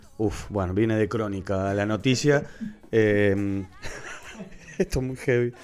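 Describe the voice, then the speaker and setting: Amid noticeable background noise, a man with a fairly low pitch and ordinary pitch variation speaks at a fairly slow pace, with long, frequent pauses. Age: 30s. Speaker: podcast co-host. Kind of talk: casual chat.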